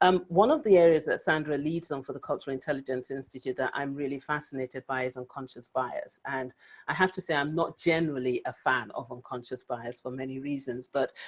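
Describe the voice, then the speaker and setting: A woman with a very deep, low pitch talks at a fairly quick pace with hardly any pauses, ordinary pitch variation and big swings in loudness. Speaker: webinar host, inclusion consultant. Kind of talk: webinar introduction. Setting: video webinar. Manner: hesitant, many fillers.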